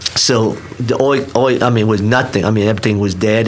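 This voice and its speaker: A man with a Vietnamese accent speaks at a fairly quick pace and a fairly low pitch. Audible room echo and noticeable background noise surround him. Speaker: restaurant owner. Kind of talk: podcast interview. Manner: halting, many restarts.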